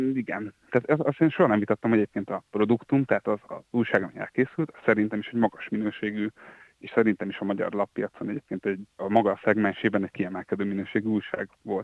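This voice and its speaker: A very fast man's voice, fairly low in pitch, with ordinary pitch variation and big swings in loudness. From Hungary, Győr. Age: 30s. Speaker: journalist, former editor-in-chief. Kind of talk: interview. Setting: phone call.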